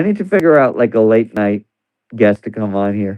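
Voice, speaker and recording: The voice is quiet, with very wide pitch swings. It moves at a moderate pace. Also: man. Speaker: livestreamer. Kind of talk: casual chat. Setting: live stream at home.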